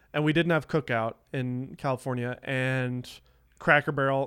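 In a plain, everyday voice of medium pitch, a man with an American accent talks at a moderate pace with fairly even intonation on a very clean recording with a silent background. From US South. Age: 30s. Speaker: filmmaker and former magician. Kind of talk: casual chat.

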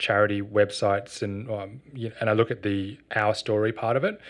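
A man with an Australian accent talks at a fairly quick pace and a medium pitch over a quiet background. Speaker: social enterprise co-founder. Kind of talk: interview.

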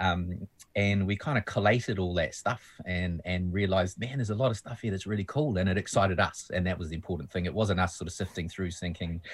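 In a very clean recording with a silent background, a man with a New Zealand accent speaks very fast in a somewhat breathy, very deep, low voice with ordinary pitch variation. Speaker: musician. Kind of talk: casual chat.

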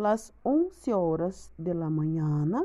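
A woman with a Brazilian accent, very slow pace and lively intonation. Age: 20s. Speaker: language student, mother. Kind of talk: learner's spoken exercise on daily routine. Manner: careful learner's pace.

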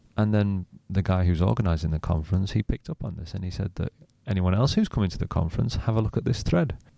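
A man with a northern English accent, a very deep, low pitch, a dark, mellow tone, ordinary pitch variation and a very fast pace, in a dry, close sound with no echo. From northwest England, near Manchester. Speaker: social media marketer. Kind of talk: interview.

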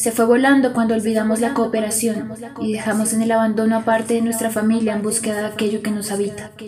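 Monotone, flat intonation at a fairly quick pace, with music in the background. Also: woman. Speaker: narrator of fable. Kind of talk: dramatic fable narration, read aloud. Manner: theatrical, solemn, building tension.

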